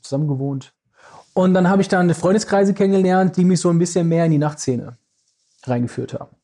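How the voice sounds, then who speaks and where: Very fast and somewhat breathy, a man speaks in a dark, mellow tone with ordinary pitch variation. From Düsseldorf, Germany. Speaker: club manager and event promoter. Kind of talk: casual interview chat. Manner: hesitant with many fillers.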